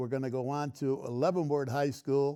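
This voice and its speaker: With an American accent, a man speaks at a moderate pace and a fairly high pitch. His tone is dark and mellow. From Waterbury, Connecticut, US. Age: 80s+. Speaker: local TV show host and veteran. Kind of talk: casual monologue to camera. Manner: halting, with restarts.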